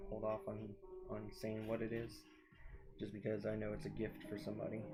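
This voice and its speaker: A soft-spoken man talks with audible room echo. Music plays in the background. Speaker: artist and live streamer. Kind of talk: casual live stream commentary while drawing. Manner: halting, with many fillers.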